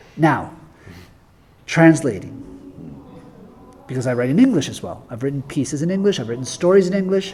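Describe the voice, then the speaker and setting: A man talks at a fairly quick pace with lively intonation and big swings in loudness. There are long, frequent pauses and noticeable background noise. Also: fairly high pitch for a man. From Guatemala and the United States. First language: Spanish. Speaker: author. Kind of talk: interview conversation. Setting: event with audience, being filmed. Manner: halting, with frequent repetitions.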